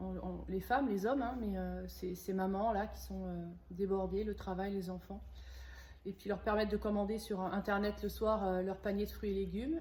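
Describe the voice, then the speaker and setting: A woman speaks at a moderate pace. The room echo is audible. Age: 50s. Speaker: organic shop owner. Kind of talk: interview. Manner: halting, many hesitations.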